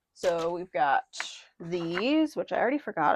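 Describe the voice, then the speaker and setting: Very wide pitch swings and vocal fry from a woman, in a dry, close sound with no echo. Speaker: papercraft tutorial creator. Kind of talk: tutorial. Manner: casual, chatty. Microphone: mic issues.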